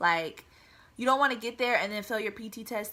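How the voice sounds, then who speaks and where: Bright and sharp in tone, a woman with an American accent speaks at a fairly quick pace. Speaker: air force member and vlogger. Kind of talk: casual vlog advice talk. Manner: fast.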